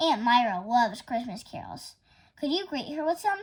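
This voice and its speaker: A woman's high-pitched, put-on character voice, with very wide pitch swings and big shifts in loudness. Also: moderate pace. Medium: read story.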